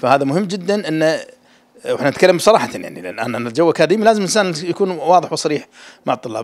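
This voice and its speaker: Lively in intonation, a man speaks at a high pitch and a fairly quick pace. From Kuwait. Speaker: university dean. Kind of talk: press interview. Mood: calm, explanatory. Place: office. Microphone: handheld.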